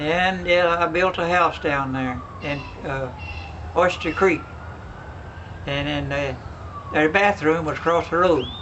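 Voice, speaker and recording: A man with an American accent, fairly slow pace, long and frequent pauses, and noticeable background noise. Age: 80s+. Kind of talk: storytelling, family reminiscence interview.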